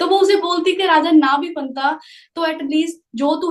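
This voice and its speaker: A woman speaks, and her pitch shows ordinary variation. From Punjab. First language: Punjabi (speaking Hindi). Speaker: network marketing business recruiter. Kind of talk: motivational live talk with storytelling.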